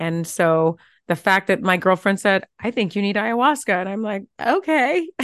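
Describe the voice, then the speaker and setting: A plain, everyday voice speaks with lively intonation at a moderate pace. The sound is dry and close with no echo, over a quiet background. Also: woman, medium pitch for a woman. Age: 50s. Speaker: TV host and transformational coach. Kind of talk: interview.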